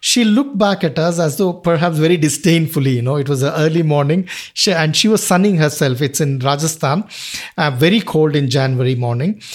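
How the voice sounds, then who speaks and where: With a Kannada accent, a man speaks at a fairly high pitch and a fairly quick pace. His pitch varies in an ordinary way, and his loudness stays very even. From Karnataka, southern India. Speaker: wildlife conservationist. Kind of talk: interview.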